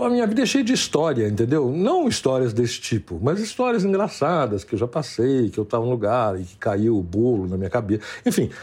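Speaking at a fairly quick pace, a man sounds somewhat breathy and barely pauses. His pitch swings very widely. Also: medium pitch for a man. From Brazil, São Paulo. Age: 60s. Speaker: interviewee telling personal story. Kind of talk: storytelling interview. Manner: halting, repeats words.

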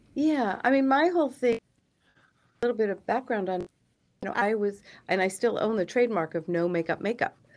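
In a very clean recording with a silent background, a woman speaks fairly quickly in a fairly high voice with lively intonation. She leaves long, frequent pauses. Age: 60s. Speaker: beauty brand co-founder. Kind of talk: interview.

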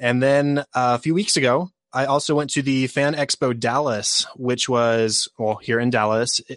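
Against a quiet background, a man with a plain, everyday voice speaks at a medium pitch with fairly even intonation, the sound dry and close with no echo. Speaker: podcaster. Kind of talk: casual chat.

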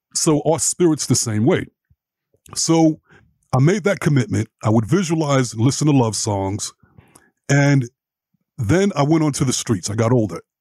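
With an American accent, a man speaks at a moderate pace in a somewhat breathy, fairly high voice of dark, mellow tone, very even in loudness, with long, frequent pauses and a dry, close sound with no echo. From New York, Brooklyn. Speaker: life and relationship coach. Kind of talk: interview.

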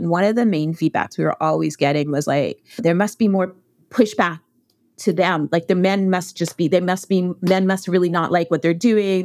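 Speaking at a fairly quick pace with a Western Canadian accent, a woman uses a fairly low pitch and ordinary pitch variation in a very clean recording with a silent background. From Canada, Alberta prairies. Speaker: documentary filmmaker. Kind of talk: interview.

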